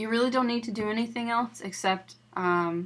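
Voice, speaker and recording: Using a plain, everyday voice, a woman speaks at a moderate pace and a fairly high pitch, her intonation fairly even. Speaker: quilting tutorial maker. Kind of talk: tutorial.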